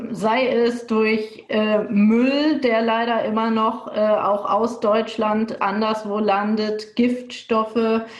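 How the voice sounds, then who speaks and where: Against noticeable background noise and audible room echo, a woman with a fairly high pitch speaks at a very slow pace in a monotone, flat intonation with very even loudness. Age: 30s. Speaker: politician. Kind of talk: panel discussion.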